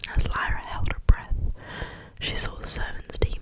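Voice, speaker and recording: A gentle whisper comes through noticeable background noise. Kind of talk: read story. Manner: whispered, gentle.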